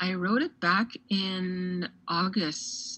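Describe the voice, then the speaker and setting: Her voice sits fairly low for a woman. Its pitch variation is ordinary. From Navajo Nation, Arizona. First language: Navajo. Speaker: poet. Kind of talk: interview.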